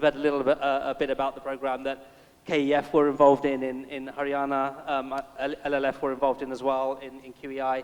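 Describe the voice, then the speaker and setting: A man speaks very fast at a fairly high pitch, his intonation monotone and flat. His loudness swings widely. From London, England. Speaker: impact investor, panelist. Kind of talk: panel discussion. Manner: hesitant, many fillers and repeats.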